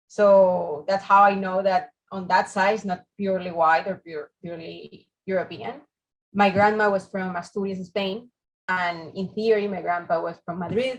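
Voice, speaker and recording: A woman speaks at a medium pitch with a Venezuelan accent. Her pace is moderate and her loudness swings widely. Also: fairly even intonation. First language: Spanish. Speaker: architect, fellowship interviewee. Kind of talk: interview.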